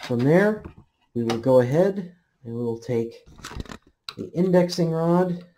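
The speaker talks at a fairly slow pace over noticeable background noise. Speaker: hobbyist demonstrating equipment. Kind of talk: tutorial. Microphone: phone near.

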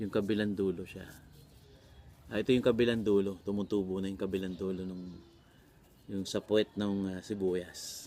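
In a very clean recording with a silent background, a man with a dark, mellow tone and fairly low pitch talks at a moderate pace in a monotone, flat intonation, leaving long, frequent pauses. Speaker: vlogger and voice coach. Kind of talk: casual vlog tutorial. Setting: outdoors in a garden.

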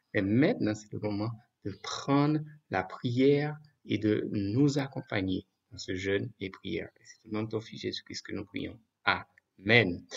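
Against a quiet background, a man speaks very slowly in a fairly low pitch, with ordinary pitch variation and big swings in loudness. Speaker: evangelist preacher. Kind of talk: prayer then sermon. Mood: calm, earnest. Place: home room. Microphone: webcam.

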